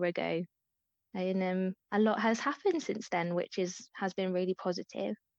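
Against a quiet background, a woman with a normal speaking voice talks at a moderate pace, the sound dry and close with no echo. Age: 30s. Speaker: anorexia recovery advocate. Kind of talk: interview.

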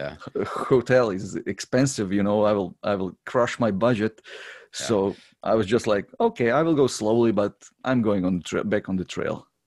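A man with a Croatian accent speaks at a moderate pace and a fairly low pitch. His pitch varies in an ordinary way against a quiet background. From Croatia, Zagreb. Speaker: long-distance hiker. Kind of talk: interview. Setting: remote call. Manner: halting.

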